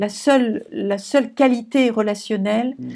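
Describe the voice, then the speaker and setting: The woman's voice is fairly high in pitch with a dark, mellow tone and ordinary pitch variation. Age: 70s. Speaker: psychoanalyst. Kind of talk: interview.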